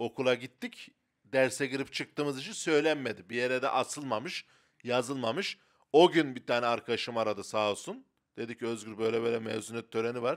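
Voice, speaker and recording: Over a quiet background, a man talks in an animated tone at a fairly quick pace. His pitch is medium, with ordinary variation. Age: 30s. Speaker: comedian; comedian podcast co-host. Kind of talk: casual chat. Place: studio. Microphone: handheld.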